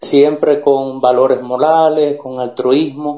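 Very slow, monotone, flat delivery from a man with a fairly high pitch. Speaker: Cuban activist. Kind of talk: political argument.

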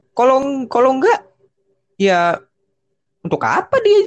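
Here a man speaks at a fairly slow pace. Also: dry, close sound with no echo. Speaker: motorsport podcast host. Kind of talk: casual chat.

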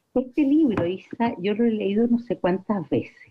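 A woman's voice with very wide pitch swings, at a fairly slow pace. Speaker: family friend. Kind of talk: recorded tribute.

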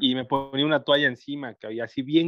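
A man speaks fairly quickly in a normal speaking voice. His intonation is fairly even. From Mexico, Guerrero (Chilpancingo). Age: 40s. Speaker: electronics engineer and entrepreneur. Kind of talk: casual chat.

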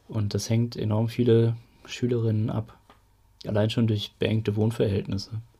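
At a moderate pace with long, frequent pauses, a man speaks in a somewhat breathy, dark, mellow tone at medium pitch with a flat, monotone intonation. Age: 30s. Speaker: local political activist, podcast host. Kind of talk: casual chat.

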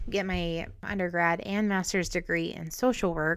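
A woman with an American accent speaks at a fairly low pitch and a fairly slow pace. Her intonation stays fairly even in a very clean recording with a silent background. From Montana, US. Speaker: podcast host. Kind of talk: casual solo monologue.

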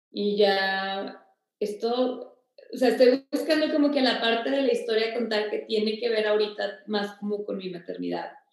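A woman speaks fairly slowly in a normal speaking voice. Her pitch varies in an ordinary way. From Mexico, Torreón. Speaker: nutrition and wellness consultant. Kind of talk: casual interview, personal testimony.

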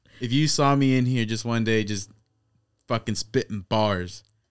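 Here a man talks at a moderate pace. His tone is animated. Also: long, frequent pauses. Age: 20s. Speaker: podcast host. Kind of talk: casual chat. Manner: animated storyteller.

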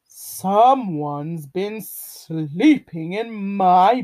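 This is a put-on character voice, growling at a middle pitch. It moves at a very slow pace.

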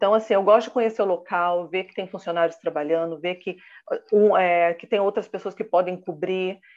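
A woman's ordinary speaking voice, medium in pitch, with fairly even intonation at a moderate pace. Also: big swings in loudness. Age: 30s. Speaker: professional condominium manager and consultant. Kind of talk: interview.

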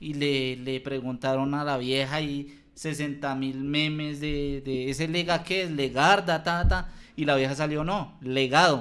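This man has an unremarkable speaking voice with a fairly high pitch. He talks at a fairly slow pace with fairly even intonation. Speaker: podcast co-host. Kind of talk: casual chat. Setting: handheld microphone.

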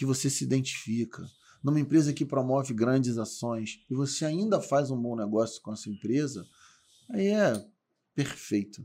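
A man's dark, mellow tone sits at a fairly high pitch. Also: very clean recording, silent background. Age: 40s. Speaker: supermarket industry executive, lawyer. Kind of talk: casual chat.

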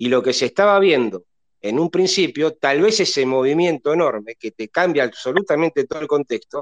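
Set in a dry, close sound with no echo, a normal speaking voice moves at a fairly quick pace with lively intonation. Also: man. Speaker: football fan panelist, astrology commentator. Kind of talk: casual chat. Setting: live online audio room, from bed at home.

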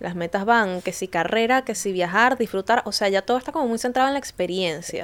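Using a normal speaking voice, a woman talks at a fairly quick pace and fairly high pitch with ordinary pitch variation and hardly any pauses. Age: 20s. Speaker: podcast co-host. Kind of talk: casual chat.

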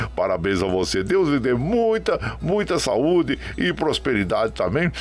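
A man's fairly high voice at a fairly slow pace, over noticeable background noise. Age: 60s. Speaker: radio host. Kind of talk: radio show, casual greetings to listeners. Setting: remote broadcast from home web radio. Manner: warm, folksy.

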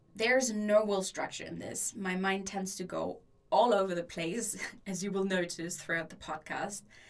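Someone with a German accent speaks at a moderate pace with fairly even intonation. The loudness swings widely. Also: woman, medium pitch for a woman. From Germany. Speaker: podcast host and student. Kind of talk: solo podcast introduction.

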